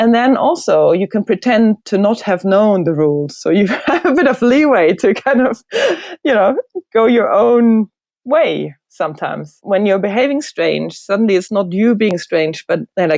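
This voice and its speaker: A woman with a German accent speaks at a moderate pace and a fairly high pitch, with very wide pitch swings. Her loudness stays very even, and the sound is dry and close with no echo. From Germany (Hildesheim area, Lower Saxony). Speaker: designer. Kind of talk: interview.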